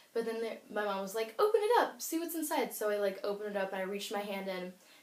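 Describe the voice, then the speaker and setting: The pace is very fast, with ordinary pitch variation. Noticeable background noise runs underneath. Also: woman. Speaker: beauty YouTuber. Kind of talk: casual vlog chat. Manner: fast, filler-heavy.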